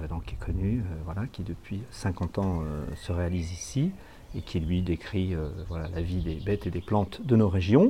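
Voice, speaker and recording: A man speaks at a moderate pace with a very deep, low pitch. His loudness swings widely. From northeastern France. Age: 60s. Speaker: village mayor. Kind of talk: interview testimony. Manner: hesitant, frequent fillers.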